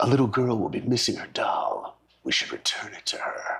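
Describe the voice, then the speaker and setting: A man's whispered, put-on character voice at a moderate pace, with big swings in loudness. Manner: dramatic, trailer-style voiceover.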